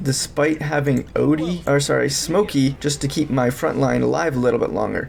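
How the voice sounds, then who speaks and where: A man talks at a moderate pace, and noticeable background noise can be heard throughout. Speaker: gaming guide creator. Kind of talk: game guide commentary. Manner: rambling.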